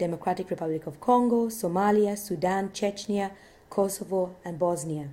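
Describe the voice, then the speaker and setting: With an East African accent, a woman speaks at a moderate pace and medium pitch. Her tone is dark and mellow, her intonation fairly even. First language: Swahili. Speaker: lecturer. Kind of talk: lecture. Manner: halting at times.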